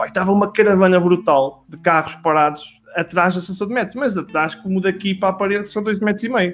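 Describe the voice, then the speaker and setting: Noticeable background noise sits behind a man who talks very fast. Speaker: business professional. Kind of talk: casual chat.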